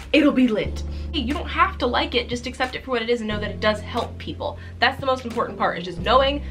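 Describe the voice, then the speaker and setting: The woman gets her words out very fast. Behind her, music can be heard clearly. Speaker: ASMR creator. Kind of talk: casual talk to camera. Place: home room. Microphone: phone near.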